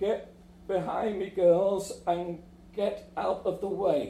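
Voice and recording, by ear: A man puts on a character voice, high-pitched and monotone, with flat intonation, at a very slow pace. Background noise is clear.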